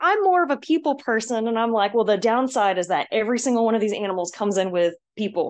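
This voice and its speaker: A normal speaking voice from a woman with an American accent, fairly high pitch and lively intonation, against a quiet background. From US Southeast (Georgia). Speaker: obstacle course racer. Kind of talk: casual chat. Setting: audio call.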